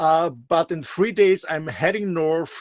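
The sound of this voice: At a slow pace, a man with an Austrian accent speaks at a fairly high pitch with ordinary pitch variation.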